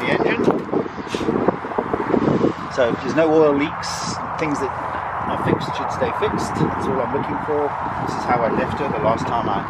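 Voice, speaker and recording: Against loud background noise, a man talks at a moderate pace with ordinary pitch variation, leaving long, frequent pauses. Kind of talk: tutorial explanation. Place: open country. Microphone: phone near.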